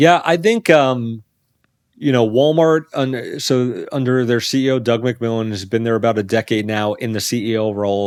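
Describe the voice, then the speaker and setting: Recorded very cleanly with a silent background, a normal speaking voice with an American accent moves at a moderate pace with ordinary pitch variation. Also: man, medium pitch for a man. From New York City, Staten Island. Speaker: business journalist. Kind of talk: interview.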